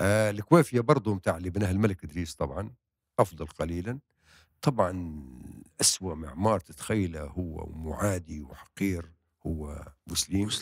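A man's very deep, low voice with ordinary pitch variation, a dry sound with no echo and a quiet background. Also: moderate pace. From Libya, Bani Walid; Libya. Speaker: novelist and playwright; guest. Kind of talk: interview. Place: studio. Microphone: handheld.

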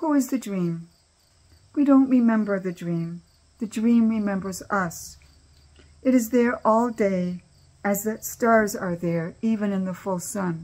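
A somewhat breathy woman speaks at a fairly slow pace with long, frequent pauses and ordinary pitch variation. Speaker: cancer community member reading her own poems. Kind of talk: reading aloud poetry. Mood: calm, reflective. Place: home room. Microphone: webcam.

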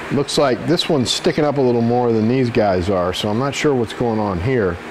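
A man at a moderate pace, ordinary pitch variation, light background noise. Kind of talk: tutorial. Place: garage.

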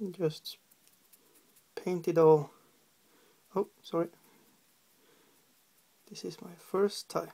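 The delivery is very slow, with long, frequent pauses, vocal fry, a dark, mellow tone, fairly even intonation and a Norwegian accent.

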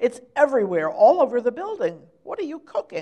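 Putting on a character voice, a female-sounding speaker goes at a fairly quick pace, high in pitch, with very wide pitch swings.

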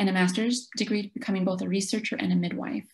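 Over a quiet background, a woman with a dark, mellow tone and a somewhat breathy quality speaks at a very fast pace with fairly even intonation. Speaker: presenter. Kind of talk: presentation talk. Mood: earnest, reflective. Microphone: webcam.

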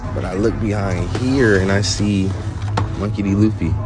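Clear music sounds behind a man who is talking. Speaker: toy-hunting vlogger. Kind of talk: casual vlog chat. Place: shop. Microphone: phone near.

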